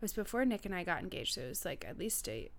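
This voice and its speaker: A woman speaks very fast with an American accent. Her pitch sits in the middle range. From US Northeast, Massachusetts North Shore (Marblehead). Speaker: guest interviewer, host's best friend. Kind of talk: casual chat.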